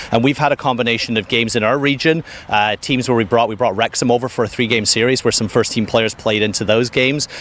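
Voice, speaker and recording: Over noticeable background noise, a man at medium pitch talks very fast with hardly any pauses. His intonation stays fairly even. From United Kingdom. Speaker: football club sporting director. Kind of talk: pitchside interview.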